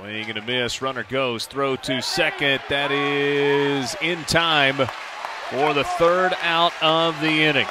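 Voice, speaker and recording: Over crowd noise in the background, a man talks at a very slow pace with a fairly high pitch and ordinary pitch variation. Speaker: baseball play-by-play announcer. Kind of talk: live sports commentary, play-by-play call.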